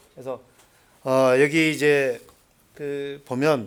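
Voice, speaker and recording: A man speaks at a medium pitch. He has a Seoul accent. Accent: Seoul accent, learned. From North Korea, Hwanghae Province. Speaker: former North Korean agent, North Korea studies lecturer. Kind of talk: lecture.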